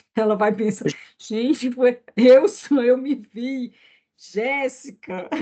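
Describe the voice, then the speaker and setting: At a very slow pace, a woman speaks with a high pitch and a dark, mellow tone. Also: ordinary pitch variation. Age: 60s. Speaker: therapist. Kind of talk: casual chat.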